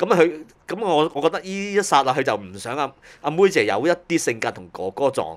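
This man talks at a moderate pace in a fairly high voice with vocal fry, his pitch swinging very widely. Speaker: music industry veteran. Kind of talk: casual chat.

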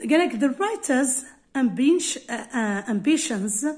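In a quiet background, a woman with an Algerian accent speaks at a moderate pace. Her high voice carries lively intonation. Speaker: English teacher. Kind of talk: tutorial. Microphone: phone near.

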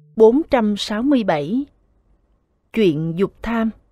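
Speaking in a Southern Vietnamese accent, a woman moves at a very slow pace with a medium pitch and a dark, mellow tone. The recording is dry and close, without echo. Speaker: scripture reader. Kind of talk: Buddhist scripture reading.

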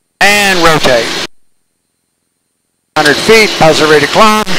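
Against loud background noise, a man speaks at a very slow pace with ordinary pitch variation in a dry sound with no echo. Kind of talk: cockpit callouts and flight instruction. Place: plane. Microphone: headset.

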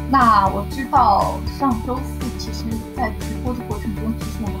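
Clear background music under a female speaker going fairly slowly. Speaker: novice livestream host. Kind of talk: casual talk to camera. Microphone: webcam.

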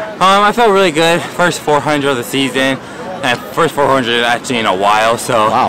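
The sound is dry with no echo, and there is noticeable background noise. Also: man. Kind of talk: interview answer. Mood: calm, pleased after win. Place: stadium.

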